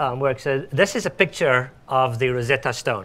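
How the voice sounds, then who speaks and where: A man's bright, sharp tone at a fairly slow pace. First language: Afrikaans. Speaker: speech recognition research scientist. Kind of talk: tech demo presentation. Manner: halting, many fillers.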